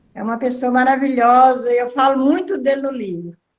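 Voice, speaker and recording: This is a woman speaking. Her pitch is high. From northern Minas Gerais, Brazil. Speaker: writer, author. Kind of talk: video call conversation. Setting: video conference.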